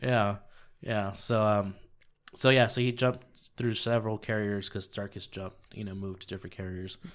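A plain, everyday voice speaks with an American accent at a moderate pace. Its intonation stays fairly even on a very clean recording with a silent background. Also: man. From Southern California. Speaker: trucking business owner. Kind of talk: casual interview. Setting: studio.

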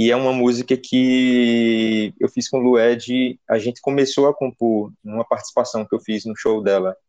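A man's dark, mellow tone at a medium pitch and a moderate pace. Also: hardly any pauses, dry, close sound with no echo. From Pernambuco, Brazil (Petrolina). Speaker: singer-songwriter and pianist. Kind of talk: interview talk about his album. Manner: hesitant, many fillers.

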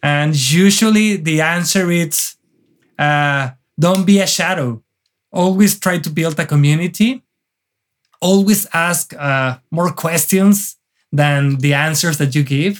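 Speaking very slowly in a Mexican accent, a man uses a high pitch with ordinary pitch variation. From northern Mexico, near the Texas border. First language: Spanish. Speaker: wedding photographer. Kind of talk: casual interview chat. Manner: energetic, animated.

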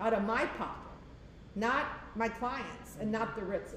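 Over noticeable background noise and audible room echo, a woman speaks. Her pitch is fairly high and her pace fairly slow. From South Florida. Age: 60s. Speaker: commercial real estate owner and trainer. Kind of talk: casual interview.

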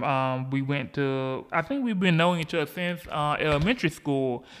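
The speaker has a Southern US accent and fairly even intonation, heard in a very clean recording with a silent background. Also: man. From US South, Georgia. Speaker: podcast host. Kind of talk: solo podcast monologue about politics. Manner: halting, many fillers.

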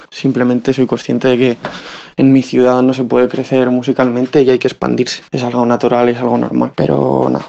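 Against noticeable background noise, the speaker talks at a fairly quick pace in a monotone, flat intonation. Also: man, medium pitch for a man. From Spain, Salamanca. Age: 20s. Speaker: musician. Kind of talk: recorded voice message.

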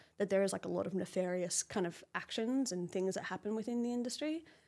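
A woman with an Australian accent talks at a very fast pace and medium pitch, with ordinary pitch variation, on a very clean recording over a silent background. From Australia, Brisbane. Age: 30s. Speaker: fashion model. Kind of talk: casual interview chat.

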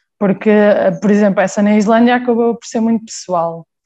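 At a moderate pace, a woman speaks with a dark, mellow tone at a medium pitch. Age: 20s. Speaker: handball player. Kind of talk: interview.

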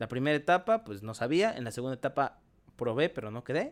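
A man is talking. His voice falls at a medium pitch. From Mexico, Chiapas. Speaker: podcaster and content creator. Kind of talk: casual chat.

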